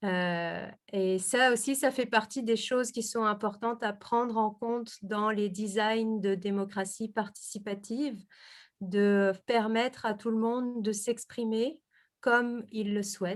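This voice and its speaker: In a very clean recording with a silent background, a woman speaks at a very slow pace with a fairly high pitch and fairly even intonation. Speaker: researcher presenting her thesis. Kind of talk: academic presentation. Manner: hesitant, many fillers.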